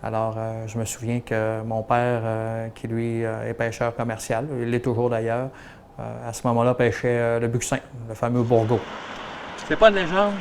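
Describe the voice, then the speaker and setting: A man with a medium pitch and fairly even intonation talks over noticeable background noise. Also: moderate pace. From Quebec, Gaspésie. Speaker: town mayor. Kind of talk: storytelling interview. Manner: hesitant, many fillers.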